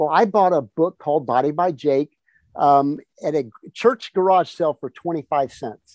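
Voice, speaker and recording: This man has a normal speaking voice, fairly high in pitch with ordinary variation, delivered at a fairly slow pace in a dry, close sound with no echo. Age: 60s. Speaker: fitness entrepreneur and author. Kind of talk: interview conversation.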